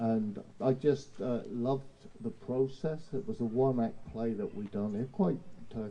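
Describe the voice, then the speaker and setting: This man speaks with an English accent. His tone is dark and mellow. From England, Portsmouth. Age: 70s. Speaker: theatre director. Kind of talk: casual interview. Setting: live outdoor show with audience.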